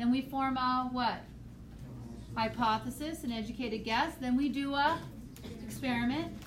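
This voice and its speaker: With long, frequent pauses, a woman talks at a moderate pace and a high pitch with fairly even intonation, over noticeable background noise and audible room echo. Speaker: high school biology teacher. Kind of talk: classroom review lecture.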